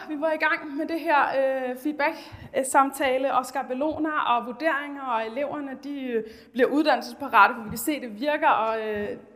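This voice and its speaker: Noticeable background noise can be heard. The talking goes at a moderate pace. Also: woman. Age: 30s. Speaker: teacher. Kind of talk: presentation. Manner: halting.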